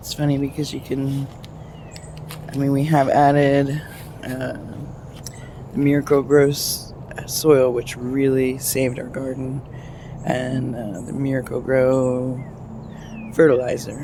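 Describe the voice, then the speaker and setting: Quiet speech with long, frequent pauses comes over noticeable background noise. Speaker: home gardener vlogger. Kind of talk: casual video walkthrough. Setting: outdoors in a garden. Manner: speaking quietly.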